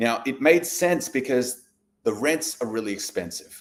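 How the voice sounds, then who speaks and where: A man with an Australian accent talks very slowly at a fairly high pitch. His intonation is lively. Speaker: real estate investor. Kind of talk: live stream presentation. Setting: livestream. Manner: casual, conversational.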